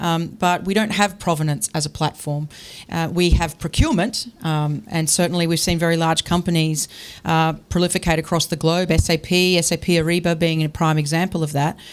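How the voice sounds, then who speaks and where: A woman with an Australian accent talks at a fairly quick pace in a fairly low pitch. Her intonation is monotone and flat, with noticeable background noise. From Australia (Brisbane, Queensland). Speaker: tech company founder. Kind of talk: panel discussion.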